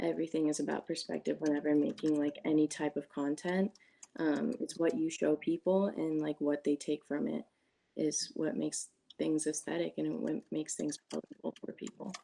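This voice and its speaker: With a Californian accent, a woman speaks at a fairly quick pace in a dry, close sound with no echo. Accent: Californian American English. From US West Coast, California Bay Area. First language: Spanish. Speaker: job candidate, college student. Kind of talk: job interview. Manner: casual, many filler words.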